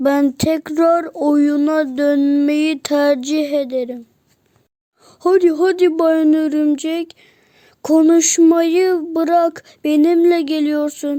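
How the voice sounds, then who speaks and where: A woman puts on a character voice, pitched high. She speaks at a very slow pace. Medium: read story. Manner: cheerful, naive.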